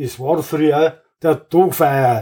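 The man has a Bavarian accent and a dark, mellow tone. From Bavaria, Wartenberg. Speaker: retired carpenter and local musician. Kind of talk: reading own poem aloud; casual interview. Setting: club room in his home.

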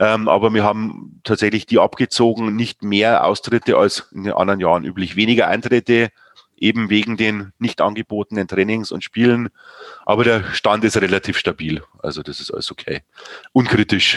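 A man with an ordinary speaking voice talks at a moderate pace in a fairly low pitch, with fairly even intonation. The sound is dry and close, with no echo. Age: 40s. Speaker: sports club chairman. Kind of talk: casual interview.

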